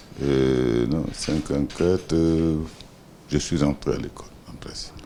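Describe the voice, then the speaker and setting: A man speaks at a very slow pace with a very deep, low pitch. Noticeable background noise runs beneath him. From Guinea, Boké region. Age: 70s. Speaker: business executive, former minister. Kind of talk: interview. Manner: hesitant, many fillers.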